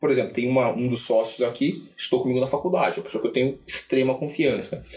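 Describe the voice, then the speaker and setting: A man's medium-pitched, ordinary speaking voice with ordinary pitch variation. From Brazil, Sorocaba (São Paulo state). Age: 40s. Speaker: investment firm founder. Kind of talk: casual chat. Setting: office.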